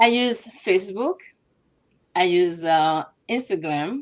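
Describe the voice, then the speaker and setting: Lively intonation marks a woman's medium-pitched voice with a Ghanaian accent. She speaks at a very slow pace. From Togo. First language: Ewe. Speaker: business owner. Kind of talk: interview. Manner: halting.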